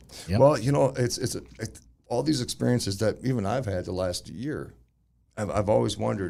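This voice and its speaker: The intonation is lively, with a dark, mellow tone and vocal fry. The pace is fairly quick. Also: man, fairly low pitch for a man. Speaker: podcast host. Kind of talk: casual podcast talk.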